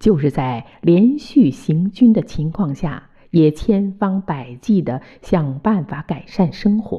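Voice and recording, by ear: The voice reads aloud naturally, its intonation lively throughout.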